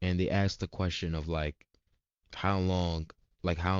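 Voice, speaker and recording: Very deep and low in pitch, a man's voice holds a monotone, flat intonation. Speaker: vlogger, student entrepreneur. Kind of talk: casual vlog update. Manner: halting, stumbling; casual slang-heavy.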